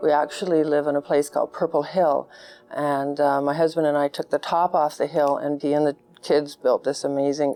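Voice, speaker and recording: In a Canadian accent, a woman speaks in a very deep, low voice with a dark, mellow tone and monotone, flat intonation. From Canada (Goose Bay, Labrador). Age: 60s. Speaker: fashion designer. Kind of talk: interview answers.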